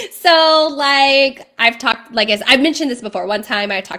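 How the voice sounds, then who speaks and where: A woman's high voice, animated and lively in intonation, at a fairly quick pace. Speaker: bakery owner. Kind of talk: livestream chat. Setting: live video stream. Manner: fast.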